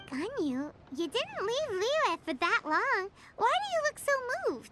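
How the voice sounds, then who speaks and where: This put-on character voice is extremely high, with very wide pitch swings at a moderate pace. Clear background noise can be heard. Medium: video game. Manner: blunt, curious.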